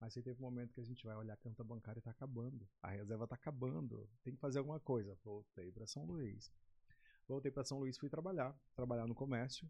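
A somewhat breathy, medium-pitched male voice at a very fast pace. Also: ordinary pitch variation. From Maranhão, Brazil (Baixada Maranhense). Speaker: TV presenter. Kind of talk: casual chat.

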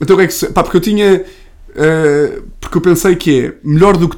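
The voice belongs to a man. Fairly even intonation runs through his speech. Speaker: comedian. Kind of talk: casual chat.

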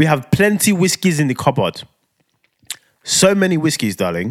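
A man with a London accent talks at a moderate pace in an animated tone with very wide pitch swings, the sound dry and close with no echo. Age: 30s. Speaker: podcast co-host. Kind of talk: casual chat.

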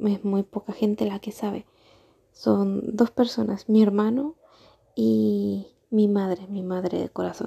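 A soft-spoken woman talks very slowly in a calm tone, recorded with a dry, close sound with no echo. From Argentina. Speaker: vlogger. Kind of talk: unscripted personal monologue. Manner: soft, calm and relaxing.

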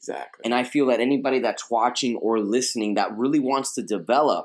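The man's tone is animated. His pitch sits in the medium range. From Queens, New York. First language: Spanish. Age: 30s. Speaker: life coach and fitness TV personality. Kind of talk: interview.

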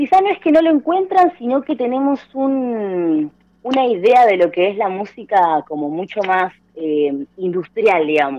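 A woman with an Argentine accent, very wide pitch swings and a fairly slow pace. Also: medium pitch for a woman. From Argentina. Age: 20s. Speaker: former rock radio host. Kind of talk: radio interview.

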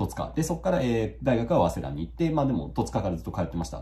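A man talks at a very fast pace in a dark, mellow tone with vocal fry and very wide pitch swings. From Kanagawa, Yokohama (Totsuka). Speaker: YouTuber and rural relocation blogger. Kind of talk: casual monologue. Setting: home office. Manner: frequent filler hesitations.

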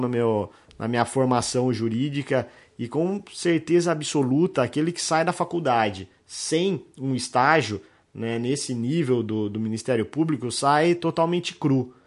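At a fairly slow pace over a quiet background, a man has an unremarkable speaking voice, a medium pitch and ordinary pitch variation. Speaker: criminal lawyer, podcast host. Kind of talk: casual interview chat. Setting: office set up as studio.

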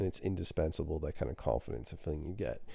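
A man's very deep, low voice with a dark, mellow tone, vocal fry, ordinary pitch variation and a very fast pace. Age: 30s. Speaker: podcast host. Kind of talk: casual monologue.

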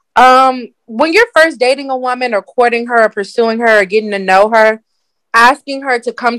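A normal speaking voice at a moderate pace, with ordinary pitch variation and a dry, close sound with no echo. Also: woman. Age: 20s. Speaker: dating coach. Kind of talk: casual chat.

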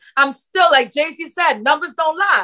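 Projecting loudly, a woman speaks at a moderate pace in a high voice with a bright, sharp tone. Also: dry, close sound with no echo. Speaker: podcast host. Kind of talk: interview, casual conversation.

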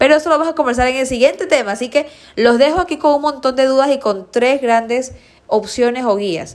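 A woman talks in an animated tone at a high pitch. Her pace is fairly quick, with ordinary pitch variation. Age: 30s. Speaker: nutritionist podcast host. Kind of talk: solo educational podcast.

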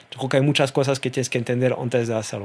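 A man speaks with a French accent. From France. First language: French (speaking Spanish). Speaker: e-commerce association executive. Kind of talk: interview conversation.

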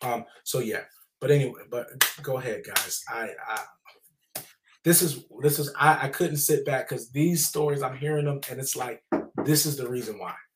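A man with an American accent speaks at a moderate pace in a fairly high, somewhat breathy voice, his intonation fairly even and broken by long, frequent pauses. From US South. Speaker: trauma nonprofit founder and author. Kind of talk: testimony.

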